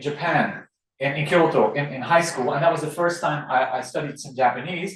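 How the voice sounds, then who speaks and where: Here a man speaks in a Dutch accent at a fairly high pitch. The room echo is audible. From Belgium, Dutch-speaking Flanders. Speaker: law professor. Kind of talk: lecture. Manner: halting, with repeated words.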